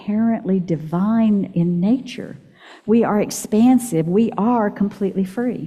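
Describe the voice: The text is given a plain reading aloud, with pitch that varies in an ordinary way.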